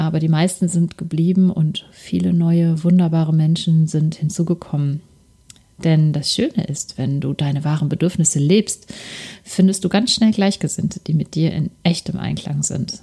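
A woman speaks at a moderate pace with a fairly low pitch and a dark, mellow tone. Her voice is somewhat breathy, with fairly even intonation. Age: 40s. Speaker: lifestyle podcast host. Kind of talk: solo podcast monologue, personal testimony and coaching.

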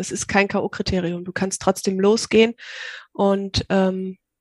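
A woman's medium-pitched monotone at a very slow pace, dry and close with no echo, in a very clean recording with a silent background. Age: 30s. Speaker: virtual assistant. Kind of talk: interview.

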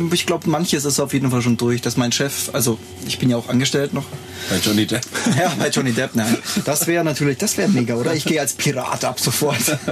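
The speech is very fast, with very even loudness, ordinary pitch variation and noticeable background noise. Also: man, medium pitch for a man. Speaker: photographer and graphic designer. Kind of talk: casual chat. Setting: shared single microphone in a lounge on tour.

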